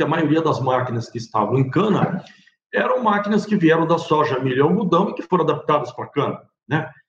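Using a normal speaking voice, a man talks at a fairly quick pace. His pitch is fairly high and his intonation lively. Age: 60s. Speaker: agronomist and company director. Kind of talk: recorded seminar talk.

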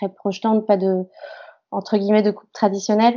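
A woman with an unremarkable speaking voice talks at a moderate pace, her fairly high pitch carried on fairly even intonation. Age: 20s. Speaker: actress. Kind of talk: interview.

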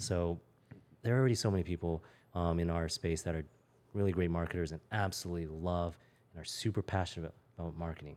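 A man with an American accent and a very deep, low voice talks at a very fast pace broken by long, frequent pauses, his intonation fairly even in a very clean recording with a silent background. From Los Angeles, US. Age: 30s. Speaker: entrepreneur. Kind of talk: casual interview. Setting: in host's house.

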